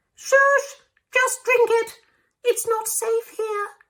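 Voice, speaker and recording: An extremely high, squeaky put-on character voice sounds robotic. It moves at a very slow pace. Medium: read story. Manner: robotic, hard to understand.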